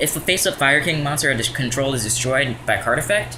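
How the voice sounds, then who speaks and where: The clip has an audible room echo and noticeable background noise. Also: man. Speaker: card game youtuber. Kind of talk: deck profile tutorial. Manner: fast; hesitant, many fillers.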